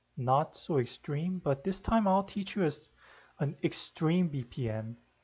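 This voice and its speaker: A man speaks softly at a fairly slow pace. His voice is fairly high. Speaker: rhythm game tutorial maker; tutorial maker. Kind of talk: tutorial; screen-capture tutorial. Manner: soft-spoken; hesitant. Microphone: no proper microphone, quiet; webcam.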